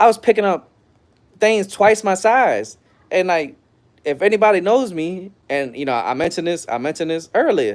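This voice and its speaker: A man with a high pitch, lively intonation and a moderate pace. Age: 30s. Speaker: live streamer. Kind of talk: casual livestream monologue. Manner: loud.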